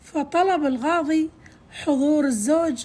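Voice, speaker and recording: Ordinary pitch variation shapes this speaker's delivery. She is a woman with a high voice. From Kuwait. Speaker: storyteller. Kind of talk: folk tale narration.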